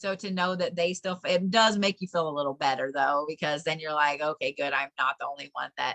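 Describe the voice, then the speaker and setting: A woman's bright, sharp tone at a moderate pace, with lively intonation and a dry, close sound with no echo. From Colorado. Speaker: spiritual teacher. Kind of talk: online class.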